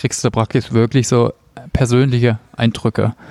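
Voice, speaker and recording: A man with an unremarkable speaking voice, fairly quick in pace, in a dry, close sound with no echo. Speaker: podcast host. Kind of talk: interview. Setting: cafeteria at a conference.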